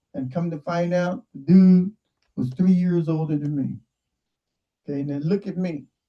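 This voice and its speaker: Speaking at a moderate pace with long, frequent pauses, a man has a high pitch, ordinary pitch variation and a dark, mellow tone. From Southern California (San Diego, Watts). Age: 60s. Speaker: online show host. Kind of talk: casual monologue. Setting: video call. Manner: animated.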